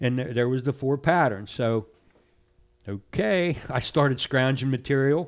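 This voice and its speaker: A man with an American accent and an unremarkable speaking voice talks fairly slowly at a medium pitch with ordinary pitch variation. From central Pennsylvania. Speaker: fly tyer. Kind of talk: casual interview. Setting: studio.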